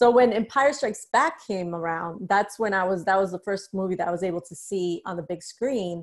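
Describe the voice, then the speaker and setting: A woman speaks in a normal speaking voice with an American accent. Her pitch is medium, with ordinary pitch variation. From US Northeast, New York City (the Bronx). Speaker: author. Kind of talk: casual interview.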